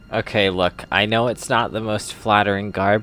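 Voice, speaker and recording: With music in the background, a man speaks at a very slow pace in a playful tone. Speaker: video game content creator. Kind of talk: gameplay commentary narration. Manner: casual, playful.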